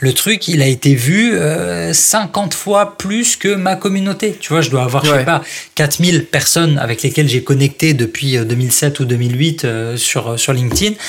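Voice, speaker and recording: Fairly high in pitch, this man's voice is somewhat breathy. He speaks at a fairly slow pace with lively intonation. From France, Strasbourg (Alsace). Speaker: copywriter and author. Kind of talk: interview. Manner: animated.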